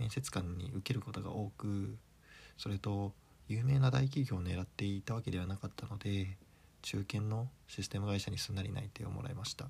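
A man's somewhat breathy, dark and mellow voice at a fairly low pitch, with a moderate pace and ordinary pitch variation. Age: 30s. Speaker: solo podcaster. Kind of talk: casual monologue.

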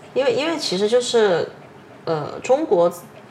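A woman's lively intonation at a moderate pace, amid noticeable background noise. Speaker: podcast host. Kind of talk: casual chat.

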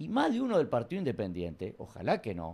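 A fairly high male voice with vocal fry moves at a fairly quick pace through very wide pitch swings. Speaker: comedian and history teacher. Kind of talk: casual interview.

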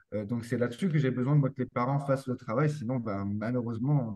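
The man's dark, mellow tone sits at medium pitch with ordinary pitch variation. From France. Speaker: posturology and neurotherapy practitioner for children. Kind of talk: interview conversation.

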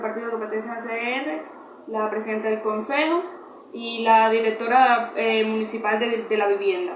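A woman's fairly high voice at a fairly slow pace, with fairly even intonation, audible room echo and noticeable background noise. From Cuba. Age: 20s. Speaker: interviewee. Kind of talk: testimony. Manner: halting.

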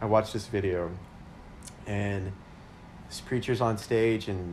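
With an American accent, a man speaks in a fairly low pitch and fairly even intonation, with audible room echo. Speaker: podcast co-host, radiology scheduler. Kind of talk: casual chat.

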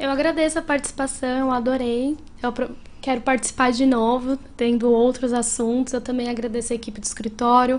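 A woman speaks in a high pitch with monotone, flat intonation. Her pace is fairly quick. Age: 30s. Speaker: lawyer. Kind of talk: interview.

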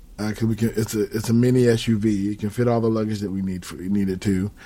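Speaking fairly quickly with an American accent, a man has an unremarkable speaking voice at medium pitch with ordinary pitch variation. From Southern California. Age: 50s. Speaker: podcast host. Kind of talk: casual chat.

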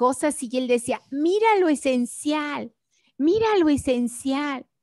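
The voice has ordinary pitch variation and a dry, close sound with no echo. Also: woman. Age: 60s. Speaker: educator and systemic pedagogy author. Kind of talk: interview.

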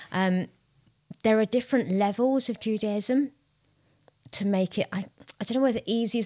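A woman with a London accent speaks at a moderate pace with ordinary pitch variation and a dark, mellow tone, in a dry, close recording with no echo that is very clean over a silent background. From North London. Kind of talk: casual discussion.

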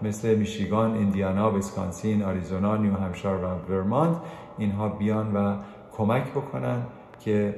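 Against noticeable background noise and audible room echo, a man talks at a moderate pace and fairly low pitch, with ordinary pitch variation and very even loudness. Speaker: radio host; anesthesiologist presenting medical news. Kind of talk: weekly health news program. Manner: varied intonation.

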